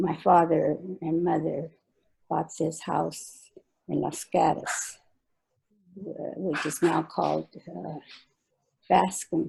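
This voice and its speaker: Very slowly, a woman with an American accent speaks. Her long pauses come often. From California, Salinas. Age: 80s+. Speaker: oral history interviewee. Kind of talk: oral history interview. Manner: halting, hesitant.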